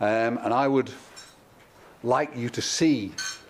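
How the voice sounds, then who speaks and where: A man speaks at a medium pitch with a Midlands accent over noticeable background noise. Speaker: event host. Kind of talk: event introduction.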